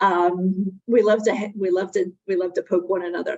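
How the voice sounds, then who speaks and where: A woman with a Connecticut accent. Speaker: webinar presenter on workplace drug policy. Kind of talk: webinar presentation. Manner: conversational with frequent fillers.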